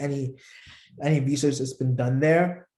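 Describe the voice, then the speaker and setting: At a moderate pace, a man speaks in a fairly high pitch with a dark, mellow tone and a somewhat breathy sound. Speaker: political campaign trainer. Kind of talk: online training class. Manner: halting, many fillers.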